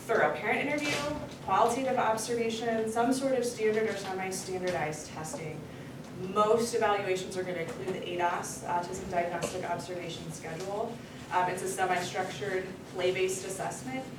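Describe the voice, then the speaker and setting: Amid noticeable background noise and audible room echo, a woman speaks at a fairly quick pace with ordinary pitch variation. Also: medium pitch for a woman. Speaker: clinical psychologist. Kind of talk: lecture. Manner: fast.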